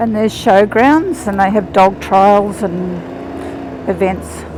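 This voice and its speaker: Someone with an Australian accent speaks at a very slow pace with ordinary pitch variation, against noticeable background noise. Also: woman. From Australia, northern New South Wales. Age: 60s. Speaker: motorcycle vlogger. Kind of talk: casual vlog narration. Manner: chatty, halting.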